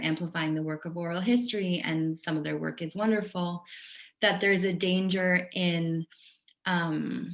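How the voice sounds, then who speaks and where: A woman with an ordinary speaking voice talks at a moderate pace in a fairly low pitch. Her intonation stays fairly even. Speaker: oral historian and author. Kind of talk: guest lecture. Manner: many filler ums.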